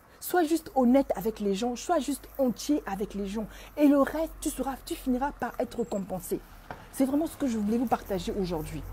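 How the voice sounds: With a dark, mellow tone and lively intonation, a woman talks at a fairly quick pace with few pauses. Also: fairly high pitch for a woman.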